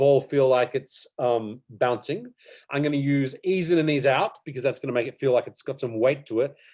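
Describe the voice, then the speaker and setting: The speaker has an Australian accent, a moderate pace and ordinary pitch variation. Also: man. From Australia, Melbourne. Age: 40s. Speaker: animation teacher. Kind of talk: online workshop tutorial. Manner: casual, hesitant with fillers.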